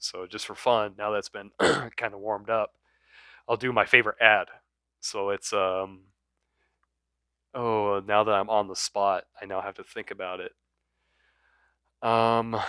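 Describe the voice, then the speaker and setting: The voice is bright and sharp yet monotone and flat, moving at a fairly slow pace with long, frequent pauses and big swings in loudness, in a dry, close sound with no echo on a very clean recording with a silent background. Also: man, fairly low pitch for a man. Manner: casual, hesitant, off the cuff.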